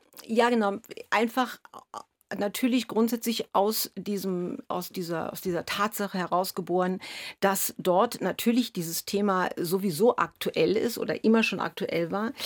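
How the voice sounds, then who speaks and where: A woman talks at a fairly slow pace, her pitch medium with ordinary variation. The recording is very clean with a silent background and a dry, close sound with no echo. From East Berlin, Germany. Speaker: violinist. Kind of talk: radio interview. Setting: radio studio. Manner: halting, many fillers.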